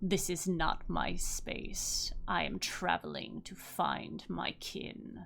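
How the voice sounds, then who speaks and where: The speaker uses a put-on character voice at a very slow pace with hardly any pauses. Clear background noise runs underneath. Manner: solemn, otherworldly.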